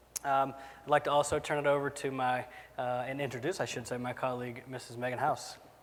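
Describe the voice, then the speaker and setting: A man talks very fast with a Southern US accent. His medium pitch stays monotone and flat. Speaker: software product expert. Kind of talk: conference presentation.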